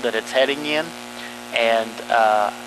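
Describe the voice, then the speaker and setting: A man's medium-pitched voice, fairly slow and fairly even in intonation, over noticeable background noise. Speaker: school facilities planning presenter. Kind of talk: meeting presentation. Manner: monotone.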